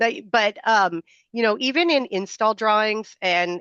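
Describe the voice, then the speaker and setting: This woman has an unremarkable speaking voice with ordinary pitch variation. She talks at a fairly slow pace. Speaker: software product presenter. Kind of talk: product demo on video call. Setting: video call with screen share. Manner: filler-heavy, casual.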